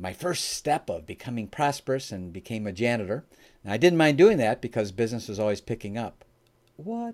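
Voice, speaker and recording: A man with an American accent and a normal speaking voice talks at medium pitch and a fairly quick pace, with lively intonation and big swings in loudness, in a very clean recording with a silent background. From US Midwest, Chicago area. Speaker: entrepreneur and business founder. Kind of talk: podcast interview.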